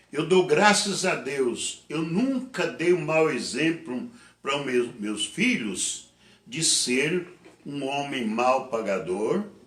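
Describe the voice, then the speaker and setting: A man with a fairly high pitch talks at a very slow pace with very wide pitch swings. Room echo is audible. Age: 70s. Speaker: pastor. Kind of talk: sermon. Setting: online church service.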